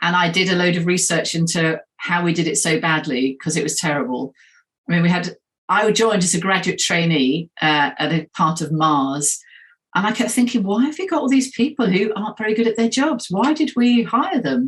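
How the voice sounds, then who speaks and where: A woman talks at a moderate pace, her pitch swinging very widely and her voice somewhat breathy. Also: medium pitch for a woman. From England, Nottingham. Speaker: hiring expert. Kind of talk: interview.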